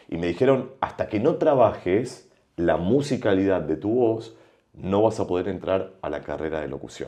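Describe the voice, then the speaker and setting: A man's fairly low, dark, mellow voice with very wide pitch swings. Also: moderate pace. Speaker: broadcaster and voice teacher. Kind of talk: podcast interview. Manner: varied intonation.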